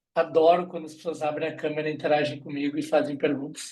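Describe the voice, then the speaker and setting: A man with a southern Brazilian accent, fairly high in pitch, very fast in pace and flat, monotone in intonation. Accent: gaúcho accent, noticeable. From southern Brazil, Rio Grande do Sul. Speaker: HR recruitment specialist, guest lecturer. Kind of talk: online lecture. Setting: video call.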